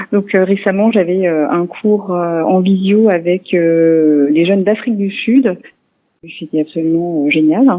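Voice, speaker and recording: At a fairly slow pace, a woman speaks in a medium pitch with ordinary pitch variation. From Alsace, France (Niedersteinbach, northern Vosges). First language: Alsatian (speaking French). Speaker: French language teacher. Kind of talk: radio interview. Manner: hesitant, many fillers.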